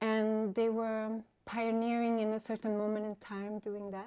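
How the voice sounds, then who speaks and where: Her dark, mellow tone and fairly high pitch come through at a moderate pace as a woman speaks in a very clean recording with a silent background. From Sweden, some childhood in France. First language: Swedish. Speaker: DJ and musician. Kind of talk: casual interview. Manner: hesitant, many fillers.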